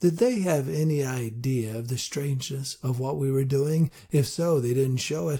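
The reading is done aloud in a natural voice. Pitch shifts only by ordinary amounts.

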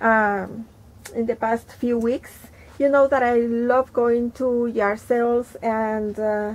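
Here a woman talks. She sits high in pitch. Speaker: thrift haul host. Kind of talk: casual vlog chat. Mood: cheerful, enthusiastic. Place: home room.

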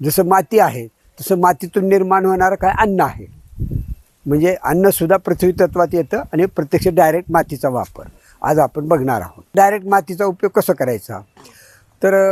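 A high-pitched man with ordinary pitch variation, in a dry, close sound with no echo. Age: 70s. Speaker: naturopathy practitioner. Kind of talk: tutorial.

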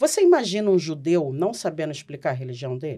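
Against a quiet background, the woman's speech moves at a fairly quick pace. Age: 40s. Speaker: Umbanda priestess and podcast host; Umbanda priestess, podcast host. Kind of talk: casual podcast discussion on religion. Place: studio. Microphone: studio mic.

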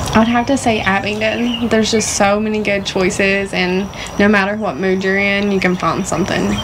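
With an Appalachian accent, a woman speaks at a moderate pace in a monotone, flat intonation over noticeable background noise. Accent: Appalachian Southern US. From Southwest Virginia (Honaker); Virginia. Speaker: co-host, social media contributor; co-host. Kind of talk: casual chat. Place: garden.

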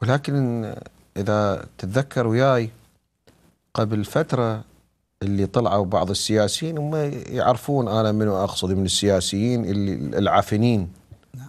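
A fairly low-pitched man at a fairly slow pace, with ordinary pitch variation and long, frequent pauses. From Iraq. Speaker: TV show co-host. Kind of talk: religious-political talk show. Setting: studio. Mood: critical, sarcastic about politicians. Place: studio. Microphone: lapel.

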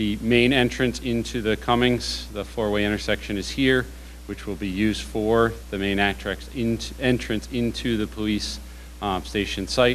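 Over light background noise, a man with a plain, everyday voice speaks fairly slowly at a fairly low pitch. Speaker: presenter. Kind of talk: formal presentation. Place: meeting room.

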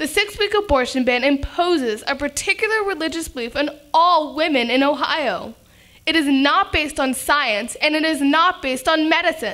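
A woman's raised, projected voice has a bright, sharp tone and lively intonation. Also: moderate pace, quiet background. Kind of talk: prepared speech. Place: meeting room. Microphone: podium.

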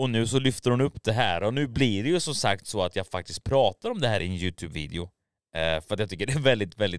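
A man speaks very fast at a fairly low pitch with lively intonation. The sound is dry with no echo, and the background is quiet. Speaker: YouTube commentary creator. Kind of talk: casual commentary video. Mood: mocking, incredulous. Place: studio. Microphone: studio mic.

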